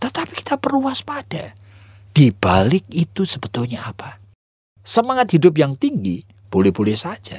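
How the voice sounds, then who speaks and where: A man's fairly high voice at a moderate pace, with very wide pitch swings and a dry, close sound without echo. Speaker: pastor. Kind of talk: radio sermon.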